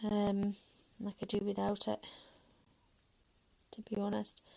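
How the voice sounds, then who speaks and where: Medium pitch from a female speaker. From Manchester, northern England. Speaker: colouring YouTuber. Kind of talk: casual livestream chat while colouring. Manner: hesitant, many fillers.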